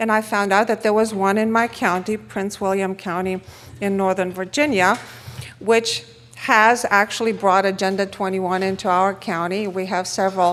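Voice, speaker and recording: With a Romanian accent, a woman talks at a moderate pace in a medium pitch, using ordinary pitch variation. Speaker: economist and conference speaker. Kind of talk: conference talk.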